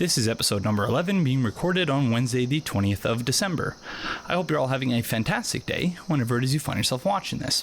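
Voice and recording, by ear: A man talks at a fast pace with lively intonation. His voice is nasal and sits at a medium pitch.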